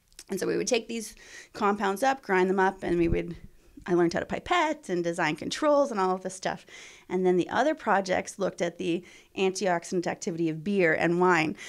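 A woman talks fairly quickly at a medium pitch with lively intonation, in a normal speaking voice. The recording is very clean, with a silent background. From Ontario, Canada. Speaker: biomedical researcher, assistant professor. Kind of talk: interview, explaining research. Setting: in her lab.

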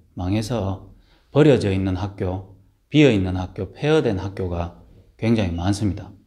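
A man's dark, mellow voice with lively intonation against a quiet background. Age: 30s. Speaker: minister. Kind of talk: casual talk to camera. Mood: earnest, calm. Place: home room. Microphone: phone near.

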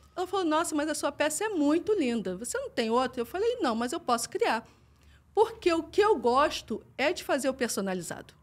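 High-pitched, a woman's voice moves through very wide pitch swings. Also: moderate pace. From Rio de Janeiro, Brazil. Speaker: podcast guest. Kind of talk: interview. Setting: studio. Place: studio. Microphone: studio mic.

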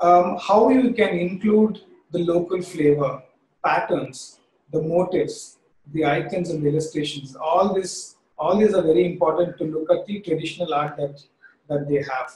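With audible room echo, a man with an Indian accent speaks at a moderate pace in a high voice with ordinary pitch variation. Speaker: creative director; presenter. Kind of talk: webinar presentation. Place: home room. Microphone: webcam.

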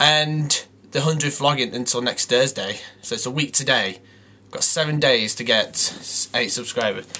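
At a moderate speed, a man is talking. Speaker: vlogger. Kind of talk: casual vlog chat. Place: home room. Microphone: webcam.

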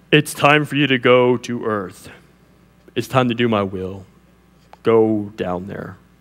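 A man uses a put-on character voice at medium pitch. He moves at a fairly slow pace with long, frequent pauses.

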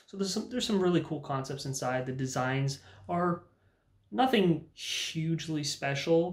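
A man talks at a moderate pace in a somewhat breathy voice. Room echo is audible around him. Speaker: anime reviewer. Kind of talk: casual review commentary. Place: home room.

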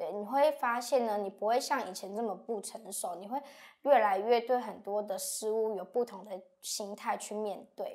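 A woman speaks at a moderate pace in a fairly high pitch with a Taiwanese accent. Her loudness swings widely against a quiet background. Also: ordinary pitch variation. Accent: Taiwanese Mandarin. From Miaoli, Taiwan. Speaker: university student. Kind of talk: lecture. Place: studio.

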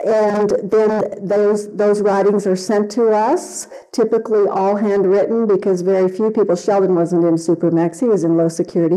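A woman at a moderate pace, with fairly even intonation and hardly any pauses. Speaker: conference presenter. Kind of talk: conference talk. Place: hall. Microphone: podium.

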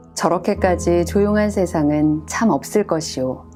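A woman speaks softly at a very slow pace. Music plays in the background. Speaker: voice performer. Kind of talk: poetry reading. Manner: calm, soft-spoken.

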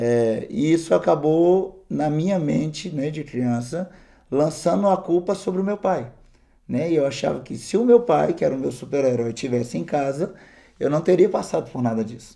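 A man's dark, mellow voice at a fairly high pitch, lively intonation and moderate pace against a quiet background. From Minas Gerais, Brazil (Governador Valadares); Minas Gerais, Brazil. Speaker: missionary; interviewee. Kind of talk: testimony. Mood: earnest storytelling. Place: studio.

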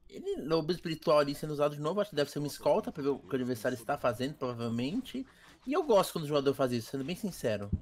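Lively intonation marks this man's fairly high voice as he talks at a very fast pace. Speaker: game commentator. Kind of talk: live sports-style esports commentary. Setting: recorded gameplay commentary. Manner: animated, excited play-by-play.

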